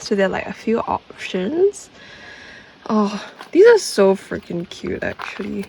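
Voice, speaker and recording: Her voice is a woman's, set at a medium pitch. Noticeable background noise is present. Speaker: vlogger. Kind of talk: travel vlog. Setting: outdoors. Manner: casual, chatty.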